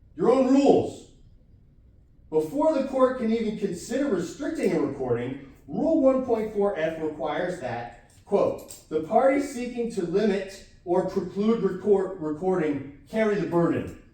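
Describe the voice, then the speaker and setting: A man with a high voice speaks in an animated tone, his pitch swinging very widely. Audible room echo and noticeable background noise surround him. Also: moderate pace. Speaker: self-represented defendant. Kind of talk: courtroom argument. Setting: courtroom.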